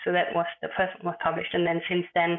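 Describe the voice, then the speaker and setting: A woman is speaking. She has a German accent. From Germany, Berlin. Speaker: author and communication expert. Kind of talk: interview podcast. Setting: remote call.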